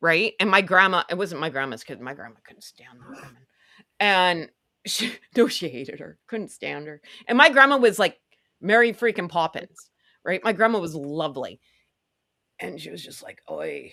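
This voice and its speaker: Over a silent background in a very clean recording, an animated voice with a bright, sharp tone and vocal fry moves at a moderate pace, with very wide pitch swings, big shifts in loudness, and long, frequent pauses. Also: woman, fairly low pitch for a woman. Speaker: co-host of a celebrity gossip talk show. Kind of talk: casual chat.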